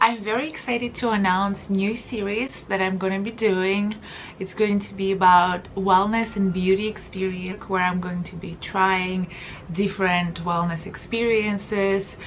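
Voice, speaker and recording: A woman's medium-pitched voice with a non-native accent, fairly even intonation and a fairly slow pace, over light background noise. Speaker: wellness and beauty vlogger; beauty vlogger. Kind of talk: casual talk to camera. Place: home room.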